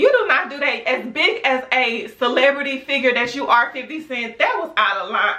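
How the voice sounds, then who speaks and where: A woman shouts in a raised, projected, high-pitched voice with big swings in loudness and an animated tone. She keeps a moderate pace and ordinary pitch variation over noticeable background noise. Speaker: YouTube vlogger. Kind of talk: opinion rant vlog. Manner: loud, yelling. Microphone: camera's built-in mic, no external microphone.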